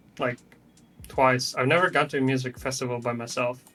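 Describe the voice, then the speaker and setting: A man with a medium-pitched voice talks while music sounds in the background. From Germany. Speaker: Hearthstone player and streamer. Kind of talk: casual interview chat.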